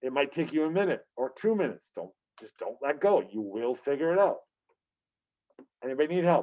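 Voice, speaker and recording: A man's fairly high voice, fairly quick and lively in intonation, with big swings in loudness and long, frequent pauses. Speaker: high school teacher. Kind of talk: tutorial. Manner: fast.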